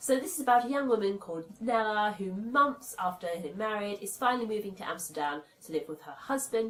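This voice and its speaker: With a British accent, a woman talks at a fairly quick pace and fairly high pitch, her intonation lively, her loudness swinging widely and hardly any pauses between words. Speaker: book reviewer. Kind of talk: casual talk to camera.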